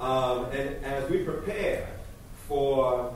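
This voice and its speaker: The room echo is strong. There is light background noise. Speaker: state official. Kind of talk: public comment. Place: hall.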